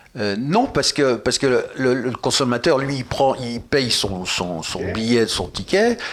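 A man at a medium pitch and a fairly slow pace, with hardly any pauses, ordinary pitch variation and noticeable background noise. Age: old. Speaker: retired film producer. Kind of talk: casual chat.

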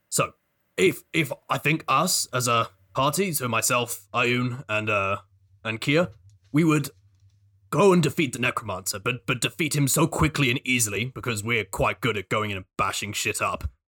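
A man speaks at a moderate pace in a put-on character voice with medium pitch, on a very clean recording with a silent background. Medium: actual play. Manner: cheerful, blunt.

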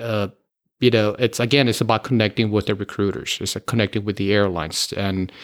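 An ordinary speaking voice from a man with an American accent, fairly low in pitch, at a moderate pace. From Miami, Florida, US. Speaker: airline pilot. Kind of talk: interview.

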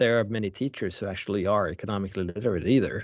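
A man with a Swedish accent talking at a very fast pace. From Sweden. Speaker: economics professor. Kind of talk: interview.

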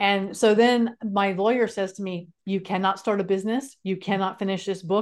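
In a very clean recording with a silent background, a woman with an American accent uses an unremarkable speaking voice at a medium pitch and a moderate pace. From California. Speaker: speaker and author. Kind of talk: interview storytelling.

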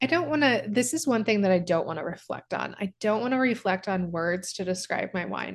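Speaking in a normal speaking voice with an American accent, a woman keeps a medium pitch, a moderate pace and lively intonation. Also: quiet background. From US Midwest, Kansas and Branson, Missouri. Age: 30s. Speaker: company founder and CEO. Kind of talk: casual chat.

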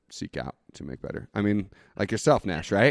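Against a quiet background, a man speaks with a Northwestern US accent. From Idaho, US (Boise). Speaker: brewery owner. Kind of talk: casual interview.

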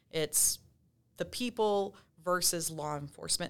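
A Texan accent on a very clean recording with a silent background. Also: woman. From West Texas. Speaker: police detective. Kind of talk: interview.

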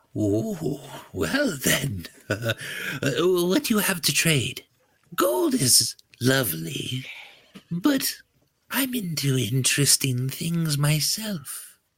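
A man in a put-on character voice speaks very slowly at a fairly high pitch, leaving long, frequent pauses. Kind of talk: comic character voice at a game table. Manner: cheerful, grandmotherly, breezy.

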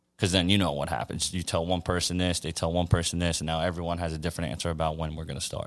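A man's very deep, low voice at a very fast pace, monotone and flat, with hardly any pauses. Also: very clean recording, silent background. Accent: American. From Queens, New York. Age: 20s. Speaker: basketball coach. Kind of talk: casual interview conversation.

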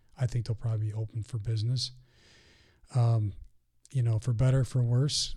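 The somewhat breathy voice keeps a monotone, flat intonation on a very clean recording with a silent background. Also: man. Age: 50s. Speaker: mission organization president. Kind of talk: interview conversation. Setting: studio.

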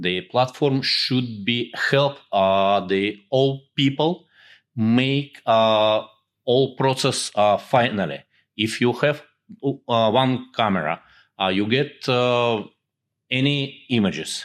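Over a silent background in a very clean recording, a man speaks very slowly at medium pitch, with ordinary pitch variation and very even loudness. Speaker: technical developer. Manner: halting.

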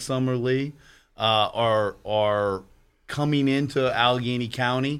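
With an American accent, a man speaks at a fairly slow pace in an ordinary speaking voice. His pitch is medium, with ordinary pitch variation. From western Pennsylvania (Aliquippa). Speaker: lawyer and political candidate. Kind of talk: radio talk show interview.

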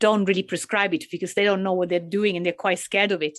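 A medium-pitched woman's voice with an Italian accent, against a quiet background. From Italy. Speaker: cannabis and psychosis researcher. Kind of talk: interview. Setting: video call.

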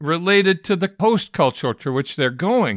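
Very wide pitch swings mark this man's speech in an American accent, in a very clean recording with a silent background and a dry, close sound with no echo. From Michigan, US. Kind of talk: solo talk to pastors.

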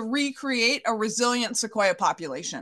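A woman's raised, projected voice with a bright, sharp tone, fairly slow in pace with ordinary pitch variation, over a quiet background. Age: 50s. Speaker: park service scientist. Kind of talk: radio interview. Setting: radio show.

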